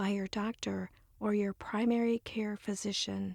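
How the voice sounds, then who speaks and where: Soft-spoken and somewhat breathy, a woman speaks at a fairly slow pace with fairly high pitch in a dry, close sound with no echo. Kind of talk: ASMR reading of instructions.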